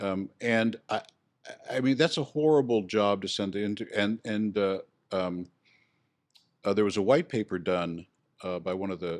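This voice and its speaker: A man speaks at a moderate pace in a fairly low voice with ordinary pitch variation. His pauses are long and frequent, and the recording is very clean with a silent background. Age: 60s. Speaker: real estate instructor. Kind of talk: podcast interview.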